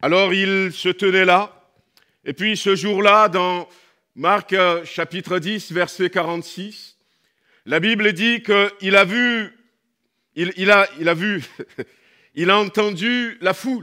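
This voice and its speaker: A man speaks at a very slow pace in a raised, projected voice with a bright, sharp tone. Long, frequent pauses break up his speech over a quiet background. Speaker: pastor. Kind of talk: sermon. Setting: church. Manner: animated. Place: church. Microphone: headset.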